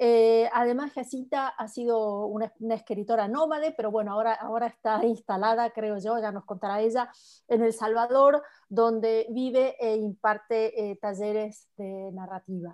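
A woman with an Argentine accent talks at a moderate pace and a fairly high pitch. Her intonation is fairly even, and the recording is very clean with a silent background. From Argentina. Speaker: writer and book club moderator. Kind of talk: book club conversation.

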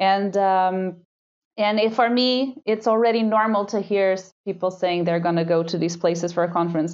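With a Portuguese accent, a woman talks at a moderate pace and medium pitch, with ordinary pitch variation and very even loudness. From Portugal, Lisbon. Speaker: PhD student, marine microbiologist. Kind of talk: interview conversation. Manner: halting.

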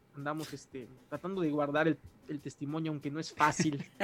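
A man's voice sits at a fairly high pitch. Music plays behind him. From Mexico, Mérida, Yucatán. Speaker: musician and pastor. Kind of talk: casual interview.

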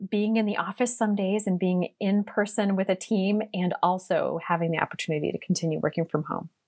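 With an American accent, a woman speaks at a medium pitch and a moderate pace. The recording is very clean, with a silent background. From US Midwest, small-town Ohio. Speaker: career coach, diplomat's spouse. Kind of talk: interview.

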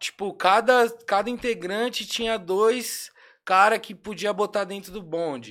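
A man speaks at a high pitch in a bright, sharp tone. His pace is fairly slow, with ordinary pitch variation and big swings in loudness. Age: 20s. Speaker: rapper. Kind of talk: casual chat.

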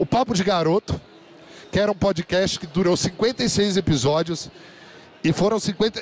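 Noticeable background noise sits behind a man with an animated tone. He talks at a moderate pace with ordinary pitch variation. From Brazil, São José dos Campos, interior of São Paulo. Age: 30s. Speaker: podcast host and conference speaker. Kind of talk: live talk to an audience. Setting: stage with audience.

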